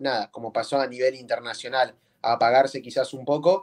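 A man speaks with ordinary pitch variation. The background is quiet. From Bahía Blanca, Buenos Aires province, Argentina. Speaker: freestyle rapper. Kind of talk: interview. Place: home room. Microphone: video call.

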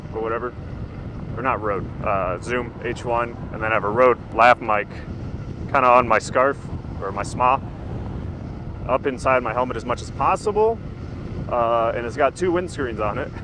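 A man talks at a moderate pace with long, frequent pauses, over noticeable background noise, in a dry sound with no echo. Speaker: hobbyist rider reviewer. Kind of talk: casual vlog chat. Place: street. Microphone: lapel.

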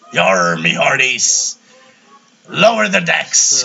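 In a put-on character voice, a man talks at a very slow pace with a fairly low pitch. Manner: hammy, exaggerated.

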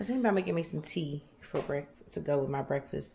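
A woman's fairly quick talking comes through with noticeable background noise behind it. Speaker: vlogger. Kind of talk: casual vlog chat. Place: kitchen. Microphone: phone near.

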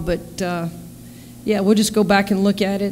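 A woman at a moderate pace with monotone, flat intonation over light background noise. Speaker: basketball head coach. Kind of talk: interview answer. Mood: calm, measured after a win. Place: meeting room. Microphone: podium.

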